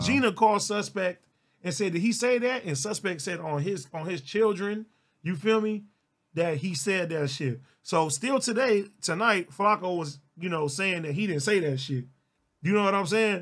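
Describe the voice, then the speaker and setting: A man's intonation is lively as he talks at a moderate pace against a quiet background. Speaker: livestreamer. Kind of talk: casual livestream storytelling. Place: home room.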